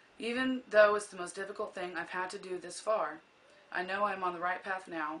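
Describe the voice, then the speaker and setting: Fairly quick speech in an American accent, fairly even in intonation, over noticeable background noise. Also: woman. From US Midwest, Kansas (Scranton). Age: 20s. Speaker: college student. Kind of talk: class speech, self-introduction.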